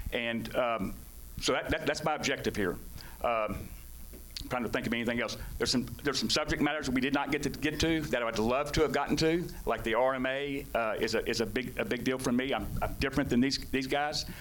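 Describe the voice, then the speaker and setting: A man's medium-pitched voice at a fairly quick pace, with ordinary pitch variation, very even loudness and audible room echo. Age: 60s. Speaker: political candidate. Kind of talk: candidate forum closing statement. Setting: public forum with audience. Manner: halting.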